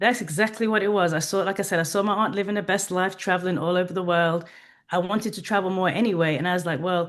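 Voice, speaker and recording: A woman with an English accent speaks at a very fast pace in a medium pitch. Her intonation is fairly even, her loudness very even, and the background quiet. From England. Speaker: HR professional and travel business owner. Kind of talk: interview.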